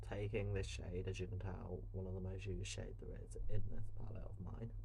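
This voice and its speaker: Soft-spoken, a man with a British accent talks at a moderate pace. Room echo can be heard. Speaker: drag queen and makeup creator. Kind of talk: makeup tutorial. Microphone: no microphone, hard to hear.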